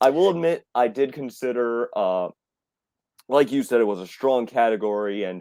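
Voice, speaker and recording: This man has a dark, mellow tone and a medium pitch. He talks at a moderate pace. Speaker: film reviewer. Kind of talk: casual chat. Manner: halting, many repeats.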